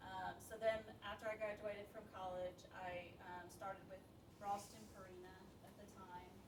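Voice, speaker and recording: Amid noticeable background noise and audible room echo, a woman with an American accent speaks in a flat monotone while her loudness swings widely. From Alabama, US South. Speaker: food manufacturing manager. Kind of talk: career talk to students. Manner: hesitant, many fillers.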